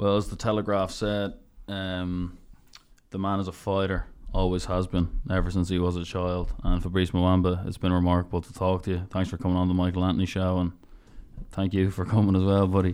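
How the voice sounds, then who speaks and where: Speaking at a fairly quick pace, a man has a very deep, low pitch and monotone, flat intonation. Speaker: podcast host. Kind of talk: casual interview.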